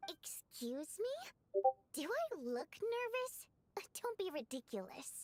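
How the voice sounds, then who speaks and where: Using a put-on character voice, a woman speaks at a very slow pace with an extremely high pitch and very wide pitch swings. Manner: defensive, indignant.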